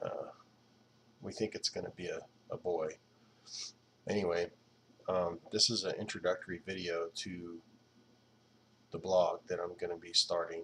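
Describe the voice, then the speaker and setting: A man at a moderate pace, quiet. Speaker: video blogger. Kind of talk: casual monologue. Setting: at home at night. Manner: quiet, low voice; hesitant, many fillers.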